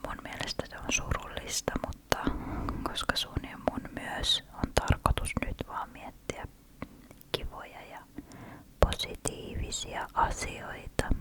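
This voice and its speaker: A woman whispers very slowly in a soothing tone, her loudness swinging widely. Noticeable background noise sits behind her. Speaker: ASMR creator. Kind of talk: ASMR relaxation whisper talk. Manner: whispered, slow, soothing.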